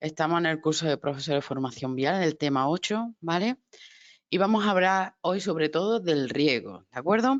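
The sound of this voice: A woman's low voice at a moderate pace with lively intonation, dry and close with no echo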